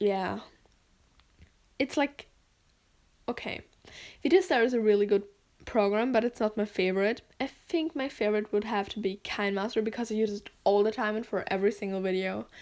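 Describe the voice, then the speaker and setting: A woman with a German accent speaks at a fairly high pitch with ordinary pitch variation. Her pace is fairly quick but broken by long, frequent pauses, on a very clean recording with a silent background. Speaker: gaming and animation video creator. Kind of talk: editing tutorial voiceover. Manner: casual, filler-heavy, uses 'like' a lot.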